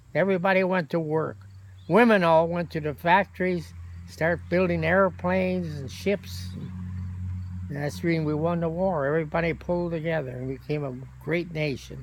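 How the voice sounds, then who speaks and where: A man with an American accent speaks at a moderate pace in a fairly high, somewhat breathy voice with very wide pitch swings. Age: 80s+. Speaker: war veteran. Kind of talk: interview answer.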